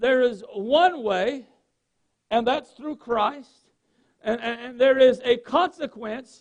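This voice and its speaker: A man speaks at a very slow pace in a Southern US accent, his pitch extremely high and its variation ordinary. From North Carolina, US South. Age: 40s. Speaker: pastor. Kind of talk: sermon. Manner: halting.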